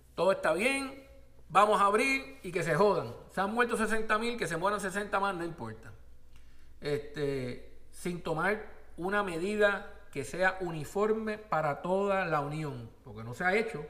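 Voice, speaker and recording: A man's raised, projected voice, high-pitched and animated, bright and sharp in tone, with lively intonation at a fairly slow pace and audible room echo. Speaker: podcast host. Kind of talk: opinionated news commentary monologue.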